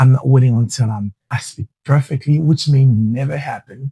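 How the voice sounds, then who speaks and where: With a Haitian accent, a man speaks at a moderate pace and a medium pitch in a dark, mellow tone that is somewhat breathy, his intonation fairly even and the sound dry and close with no echo. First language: Haitian Creole. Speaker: podcast host and entrepreneur. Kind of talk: motivational podcast monologue. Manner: halting at times.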